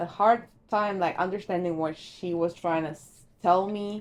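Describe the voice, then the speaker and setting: Her voice, at a medium pitch, carries a non-native accent as the woman talks. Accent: foreign. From Argentina. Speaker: secretary at a law firm. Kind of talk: casual chat.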